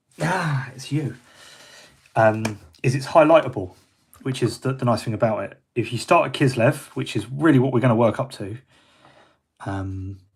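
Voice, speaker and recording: The voice is somewhat breathy, in a British accent, with ordinary pitch variation. Long, frequent pauses break it up, and the loudness swings widely. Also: man, medium pitch for a man, moderate pace. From Britain. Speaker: miniature painter. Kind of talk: live painting tutorial. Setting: livestream. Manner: casual, hesitant with fillers.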